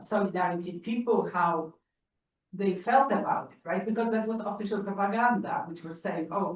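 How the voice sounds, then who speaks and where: In a Polish accent, a woman speaks at a moderate pace with medium pitch and ordinary pitch variation. Her loudness swings widely, and the room echo is audible. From Poland. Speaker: audience member. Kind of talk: audience question. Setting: library auditorium. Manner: halting.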